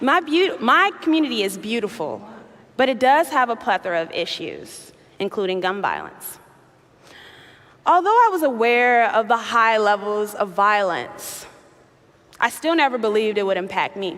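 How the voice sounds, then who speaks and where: Over noticeable background noise, a woman with an American accent speaks at a fairly high pitch, her pitch swinging very widely between long, frequent pauses. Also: moderate pace. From Chicago, US Midwest. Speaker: activist and keynote speaker. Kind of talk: keynote speech. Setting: stage with audience.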